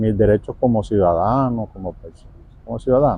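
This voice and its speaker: A fairly slow pace with ordinary pitch variation. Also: man. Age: 40s. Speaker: pool worker. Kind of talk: interview. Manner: halting.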